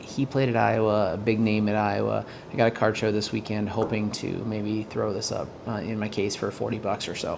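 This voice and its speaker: Quiet speech at a moderate pace comes through noticeable background noise. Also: man. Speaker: sports card dealer and collector. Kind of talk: casual vlog, mail unboxing. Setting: at home late at night. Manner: quiet, keeping voice down; hesitant, many fillers.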